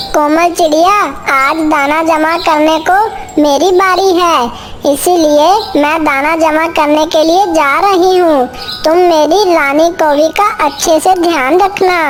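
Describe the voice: A woman's cartoonish character voice, extremely high-pitched and fairly slow, over clear background noise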